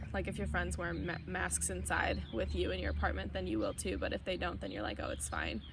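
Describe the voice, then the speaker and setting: A woman with an American accent and a very deep, low pitch speaks with audible room echo. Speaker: university student. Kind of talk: interview.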